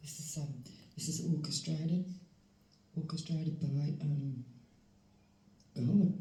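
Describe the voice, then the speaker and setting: Soft-spoken and somewhat breathy, a woman with a very deep, low pitch talks at a fairly slow pace amid audible room echo. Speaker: tarot reader. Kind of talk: tarot reading. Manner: halting, many fillers. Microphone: volume problems.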